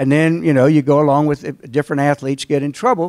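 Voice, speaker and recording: In a Southern accent, the speaker moves at a fairly quick pace, and the very clean recording has a silent background and a dry, close sound with no echo. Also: man. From North Carolina. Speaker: trial lawyer. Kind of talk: invited talk to alumni audience. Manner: conversational storytelling.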